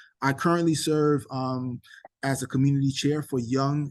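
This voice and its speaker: An American-accented man with a fairly high pitch, fairly even intonation and a moderate pace, against a quiet background. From New York City (Queens). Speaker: nonprofit director and event host. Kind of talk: virtual event presentation. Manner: hesitant, many fillers.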